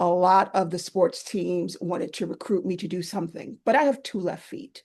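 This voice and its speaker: With a New York accent, a woman speaks at a moderate pace against a quiet background. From New York (Queens). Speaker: army veteran and caregiver support advocate. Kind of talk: panel talk, personal story. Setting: virtual event.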